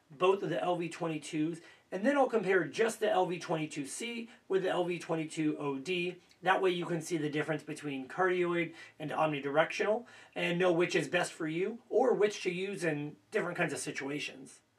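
The man has a high pitch. His pitch variation is ordinary. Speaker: gear reviewer. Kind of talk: product review tutorial. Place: studio. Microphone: camera far.

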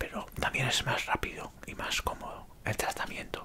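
A man whispers at a fairly slow pace. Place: home room. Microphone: earbuds.

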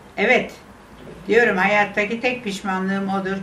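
Light background noise and audible room echo around a woman's voice. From Istanbul, Turkey. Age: 80s+. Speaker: interviewee recalling memories. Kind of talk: interview answer, personal memories. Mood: wistful, regretful reminiscence. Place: home room.

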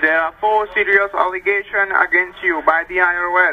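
A man with an American accent projects a raised voice at a high pitch and moderate pace over light background noise. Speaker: phone caller claiming to be a tax agent. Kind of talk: scripted phone call speech. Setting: phone. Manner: scripted, formal delivery. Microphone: phone line.

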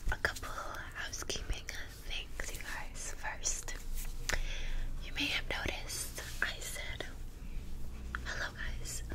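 A woman with an extremely high pitch, monotone, flat intonation, a very slow pace and long, frequent pauses over noticeable background noise. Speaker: ASMR creator. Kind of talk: casual talk to camera. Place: home room. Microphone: studio mic.

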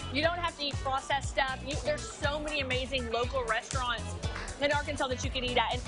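Music is clearly heard behind the speaker. She is a woman talking fairly quickly. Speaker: TV segment co-host. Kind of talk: casual food review chat. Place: cafe. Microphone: lapel.

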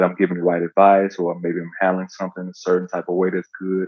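A man speaks fairly quickly in a very deep, low pitch with monotone, flat intonation. The sound is dry with no echo, and the background is quiet. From US South, Memphis, Tennessee; Tennessee. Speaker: professional basketball player; guest. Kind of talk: casual interview chat. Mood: reflective, sincere. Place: home room. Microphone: video call.

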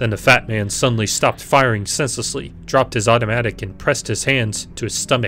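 A natural reading voice is what the clip holds.

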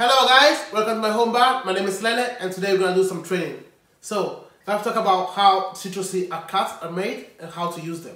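A man speaks in a raised, projected voice at a fairly quick pace, with ordinary pitch variation and big swings in loudness. There is audible room echo, but the background is quiet. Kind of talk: tutorial. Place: kitchen.

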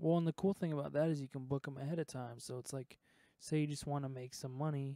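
A man's fairly high voice with a dark, mellow tone, very fast pace and fairly even intonation, dry with no echo over a quiet background. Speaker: streamer and music producer; stream host. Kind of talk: casual chat. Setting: live stream. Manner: halting. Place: studio. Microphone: handheld.

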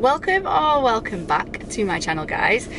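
A woman talks at a moderate pace in a dry sound with no echo, with noticeable background noise behind her. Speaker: nursing student vlogger. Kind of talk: casual vlog chat. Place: car. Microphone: phone near.

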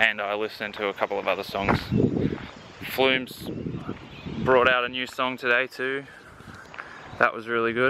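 A man at a moderate pace with monotone, flat intonation and long, frequent pauses, a dry, echo-free sound, and noticeable background noise. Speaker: vlogger. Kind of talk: casual vlog chat. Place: street. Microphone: phone near.

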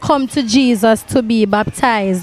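The pace is fairly slow, with ordinary pitch variation. The sound is dry with no echo. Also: woman. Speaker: TV program host. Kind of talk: interview questions. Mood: warm, respectful. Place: church. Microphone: handheld.

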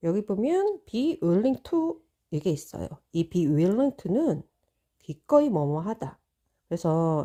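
In a very clean recording with a silent background, a woman with a dark, mellow tone speaks at a very slow pace and medium pitch, her pitch swinging very widely. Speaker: English learning YouTuber. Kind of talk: tutorial. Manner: casual.

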